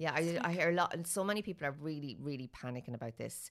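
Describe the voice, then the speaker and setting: Very deep and low-pitched, a woman with an Irish accent speaks at a very fast pace with ordinary pitch variation. The recording is very clean, with a silent background. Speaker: budgeting influencer, mother. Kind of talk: casual interview.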